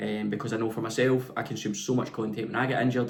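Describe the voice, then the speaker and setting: A man speaks with a Scottish accent and fairly even intonation. Audible room echo surrounds his voice. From west of Scotland. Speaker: personal trainer. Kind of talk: vlog monologue.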